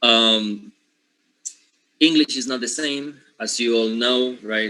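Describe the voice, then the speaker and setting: Here a man speaks in a Spanish accent at a medium pitch. His delivery is fairly slow, with monotone, flat intonation. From Panama. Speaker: linguistics teacher. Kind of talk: lecture. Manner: hesitant, many fillers.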